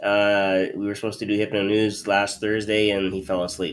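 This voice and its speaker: This man has a slight Canadian accent and a fairly low pitch. His intonation is monotone and flat at a moderate pace. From Canada. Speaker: hypnotist show host. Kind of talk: casual chat.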